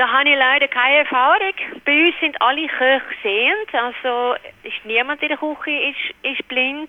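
Noticeable background noise sits behind a woman speaking at a moderate pace. Her high pitch shows ordinary variation. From Netherlands. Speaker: restaurant office worker. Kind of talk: interview. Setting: phone call. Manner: halting, many fillers.

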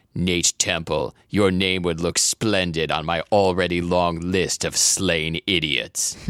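A growling, put-on character voice from a man, very deep and low, at a fairly slow pace with hardly any pauses. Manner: threatening.

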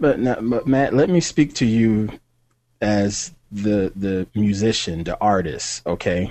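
Intonation is lively in this man's speech. He talks very slowly. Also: fairly low pitch for a man. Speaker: tech podcast co-host. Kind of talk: casual banter. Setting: video call.

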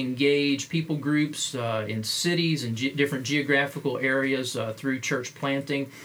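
Through noticeable background noise, a man talks in a fairly high voice with ordinary pitch variation. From Appalachia, US (Kentucky roots). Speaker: podcast host, pastor and missiologist. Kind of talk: interview. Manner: halting, many fillers.

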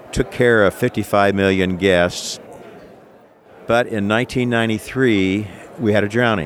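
Noticeable background noise sits behind the speaker. He is a man with a fairly low pitch and an American accent. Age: 60s. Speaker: entrepreneur and inventor. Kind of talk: interview, product pitch. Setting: trade show floor. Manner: enthusiastic, animated.

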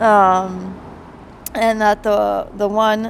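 A woman's medium-pitched, monotone, flat voice in a South Jersey accent, over noticeable background noise. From South Jersey, US. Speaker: guest. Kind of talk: casual chat.

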